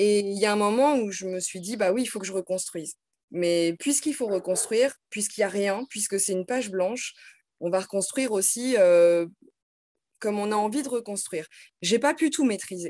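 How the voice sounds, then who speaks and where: A woman's dark, mellow tone at a moderate pace, with ordinary pitch variation and a quiet background. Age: 30s. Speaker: teacher; teacher, interviewee. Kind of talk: casual interview. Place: home room. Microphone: video call.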